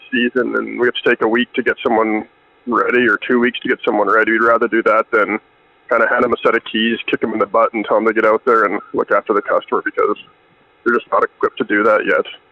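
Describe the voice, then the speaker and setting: Talking at a very fast pace, a man with a Canadian accent is heard over noticeable background noise. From Canada. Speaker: business owner. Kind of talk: casual chat.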